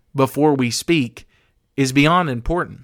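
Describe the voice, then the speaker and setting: Speaking very slowly with an American accent, a man uses a fairly high pitch and ordinary pitch variation. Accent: country accent, sometimes comes through. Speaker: podcast host. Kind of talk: motivational talk.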